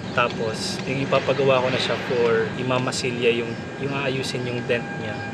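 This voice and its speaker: Amid noticeable background noise and audible room echo, a man speaks at a moderate pace in a medium-pitched, monotone, flat voice. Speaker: vlogger, car owner and film photographer. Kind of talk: casual vlog talking to camera. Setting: outdoors, parked car on city street. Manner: hesitant, many fillers (uh, um); soft, quiet voice. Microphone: no microphone, camera mic.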